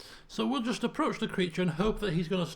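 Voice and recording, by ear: Someone is reading aloud in a natural voice. The text is read at its own pace.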